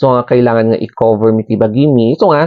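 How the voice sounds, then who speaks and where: A man's voice at medium pitch carries along at a moderate pace. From Philippines, Cordillera (Baguio, Benguet). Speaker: vlogger. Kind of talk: casual explainer vlog. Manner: hesitant, many fillers.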